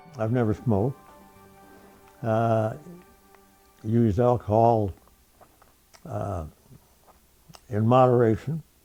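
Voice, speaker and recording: Over music in the background, a man talks at a very slow pace with long, frequent pauses. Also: medium pitch for a man, ordinary pitch variation. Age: 80s+. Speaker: retired pilot. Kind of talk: interview answer.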